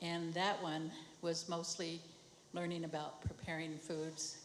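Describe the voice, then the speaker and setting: A woman's fairly low, monotone, flat voice at a fairly slow pace and very even loudness, with audible room echo and noticeable background noise. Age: 70s. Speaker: traditional medicine program worker. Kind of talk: personal testimony.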